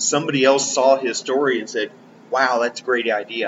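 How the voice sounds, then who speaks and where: Noticeable background noise sits behind this man's voice. He talks at a fairly quick pace and a medium pitch. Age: 60s. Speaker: podcast co-host. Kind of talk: casual chat.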